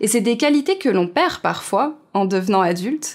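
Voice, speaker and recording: A woman talks in an ordinary speaking voice at a medium pitch. Her pace is fairly slow. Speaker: interviewer. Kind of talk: interview questions.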